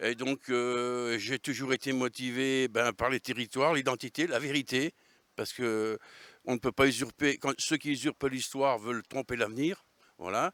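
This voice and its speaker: In a very clean recording with a silent background and a dry, close sound with no echo, a man at medium pitch talks fairly slowly with fairly even intonation. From Savoy, France (Albanais area). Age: 60s. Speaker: regional political activist. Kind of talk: interview. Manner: hesitant, many fillers.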